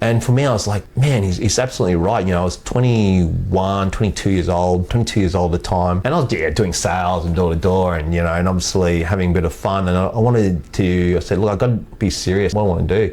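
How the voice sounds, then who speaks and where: Very fast and with hardly any pauses, a man with an Australian accent speaks at a very deep, low pitch, his loudness very even and his pitch variation ordinary, over noticeable background noise. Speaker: sales executive in the fitness industry. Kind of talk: podcast interview. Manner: halting.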